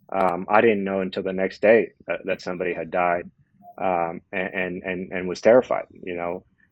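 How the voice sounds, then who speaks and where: This man has a very deep, low pitch and a Californian accent. He talks at a moderate pace in a monotone, flat intonation. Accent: Californian American English. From Southern California, Los Angeles. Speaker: prison reform advocate. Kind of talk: personal testimony in podcast interview. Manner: halting, many fillers and repetitions.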